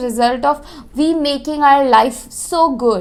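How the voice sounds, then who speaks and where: A woman's high voice with ordinary pitch variation. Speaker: spiritual coach. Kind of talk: casual spiritual advice talk.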